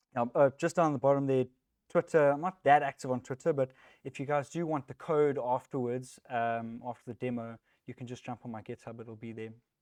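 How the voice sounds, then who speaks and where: A man with a South African accent talks at a fairly quick pace at a medium pitch with fairly even intonation, the sound dry and close with no echo over a quiet background. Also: big swings in loudness. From South Africa, Johannesburg. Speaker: software technical lead, conference speaker. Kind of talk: tech talk. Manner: casual, with many fillers.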